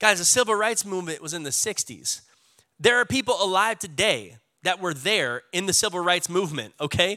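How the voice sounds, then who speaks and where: On a very clean recording with a silent background, a raised, projected voice comes through bright and sharp, animated in tone, with lively intonation at a fairly quick pace. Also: man. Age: 30s. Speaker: pastor. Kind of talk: sermon. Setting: church.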